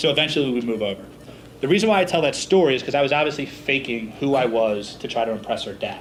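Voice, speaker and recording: Speaking at a very fast pace, a man with a fairly high pitch and an American accent is heard over noticeable background noise. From Philadelphia, US Northeast. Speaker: business speaker. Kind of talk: seminar talk.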